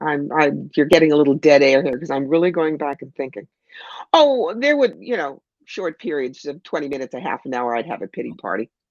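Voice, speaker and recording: A woman with an American accent speaks at a very deep, low pitch. Her intonation is lively and her pace fairly quick. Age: 60s. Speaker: intuitive counselor and speaker. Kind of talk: interview.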